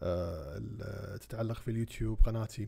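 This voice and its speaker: Somewhat breathy and dark, mellow in tone, the voice carries a Kuwaiti accent and fairly even intonation. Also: man. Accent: Kuwaiti Arabic with English code-switching. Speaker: parliamentary candidate. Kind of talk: campaign video address to voters. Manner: hesitant, many fillers.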